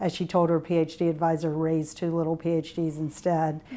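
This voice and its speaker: A woman with a Virginia accent speaks at a moderate pace and a fairly low pitch. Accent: Virginia Southern. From US South, Tidewater Virginia. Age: 60s. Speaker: alumna interviewee. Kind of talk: oral history interview. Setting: interview room. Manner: hesitant with fillers.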